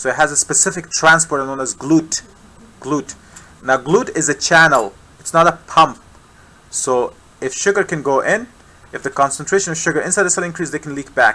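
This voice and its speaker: A man's fairly high voice at a fairly quick pace, with long, frequent pauses, big shifts in loudness and ordinary pitch variation. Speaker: medical science tutor. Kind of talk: live tutoring lecture.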